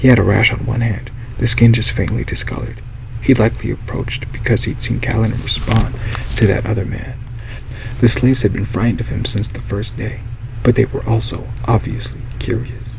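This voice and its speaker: A soft-spoken man talks at a fairly quick pace. Noticeable background noise runs under his voice. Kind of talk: audiobook reading.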